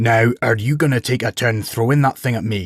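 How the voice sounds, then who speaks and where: In a very clean recording with a silent background, a man growls in a guttural put-on character voice at medium pitch and a moderate pace. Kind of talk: refined despite its bulk. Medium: read story. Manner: casual, matter-of-fact.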